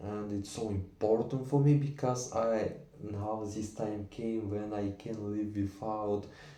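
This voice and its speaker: Audible room echo surrounds a man with a non-native accent who talks at a very slow pace. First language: not English. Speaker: vlogger learning English. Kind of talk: unscripted monologue. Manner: halting.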